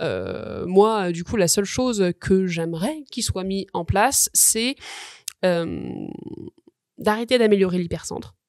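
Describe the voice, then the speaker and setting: A woman's medium-pitched voice at a very slow pace, with ordinary pitch variation and long, frequent pauses. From France, Lyon suburbs. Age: 30s. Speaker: bike workshop director, former bike mechanic. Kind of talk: podcast interview. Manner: hesitant, many fillers.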